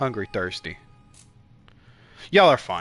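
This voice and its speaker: With music playing behind him, a man keeps to a moderate speed as he talks. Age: 20s. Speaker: gaming streamer. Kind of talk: live gameplay commentary. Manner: loud; energetic.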